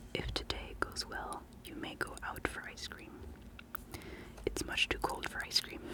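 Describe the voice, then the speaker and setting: A woman whispers at a fairly slow pace, stopping often for long pauses. Noticeable background noise runs underneath. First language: not English. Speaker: ASMR creator. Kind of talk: ASMR show-and-tell. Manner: whispering; soft-spoken.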